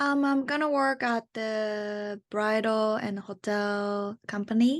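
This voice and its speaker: In a Japanese accent, a woman speaks at a very slow pace with ordinary pitch variation, recorded with a dry, close sound, no echo and a quiet background. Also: fairly high pitch for a woman. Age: 20s. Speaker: student. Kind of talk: casual chat.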